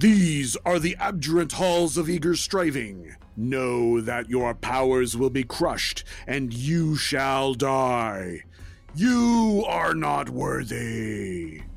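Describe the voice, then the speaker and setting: Clear music plays in the background as a man at medium pitch speaks very slowly in a put-on character voice. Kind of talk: formal, archaic. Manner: commanding, ominous.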